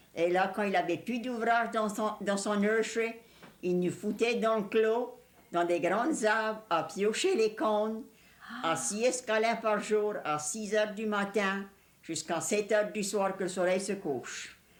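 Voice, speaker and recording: Talking in a Cajun accent at a fairly slow pace, a woman is heard with audible room echo. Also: fairly high pitch for a woman, ordinary pitch variation. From Louisiana, Cajun country. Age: 60s. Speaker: elderly Cajun woman interviewee. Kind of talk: reminiscing interview.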